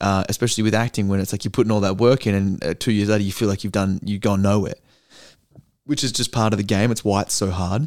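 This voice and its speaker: Very fast speech comes from a man with an Australian accent. His pitch sits fairly low. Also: fairly even intonation. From Australia (Perth). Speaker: actor. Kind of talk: casual chat.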